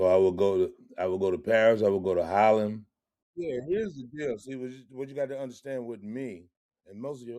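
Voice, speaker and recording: A man with a medium pitch and a dark, mellow tone talks at a fairly quick pace, showing ordinary pitch variation and big swings in loudness. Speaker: funk musician and podcast host. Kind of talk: casual chat.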